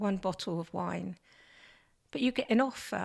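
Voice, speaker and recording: Over a silent background on a very clean recording, a woman speaks at a medium pitch with ordinary pitch variation and vocal fry. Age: 70s. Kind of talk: interview answer.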